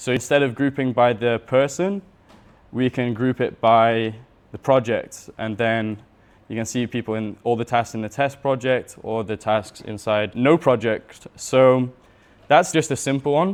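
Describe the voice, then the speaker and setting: At a fairly slow pace, a man speaks in a normal speaking voice of medium pitch with ordinary pitch variation. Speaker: systems and Notion consultant. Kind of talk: workshop talk with live demo. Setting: room with audience.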